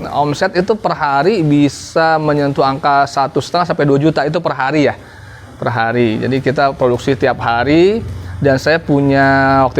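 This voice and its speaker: Noticeable background noise sits behind a man speaking at a moderate pace, his fairly high voice showing ordinary pitch variation. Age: 30s. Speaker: small business owner. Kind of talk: interview testimony.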